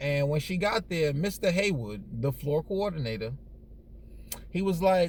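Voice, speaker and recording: This loud man has a fairly high pitch and an animated tone. His pitch swings very widely at a moderate pace. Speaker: storyteller vlogger. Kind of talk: casual storytelling.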